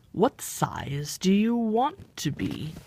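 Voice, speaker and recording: The voice is a put-on character voice. Its pitch sits in the middle range. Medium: read story. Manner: curt, contrary.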